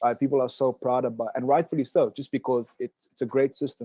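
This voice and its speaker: Heard in a dry, close recording with no echo, a man with an American accent talks fairly quickly in a dark, mellow voice at a medium pitch. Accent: South African with slight Southern US twang. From South Africa. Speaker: Olympic swimmer, college athlete. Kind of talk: webinar interview. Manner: hesitant, many fillers.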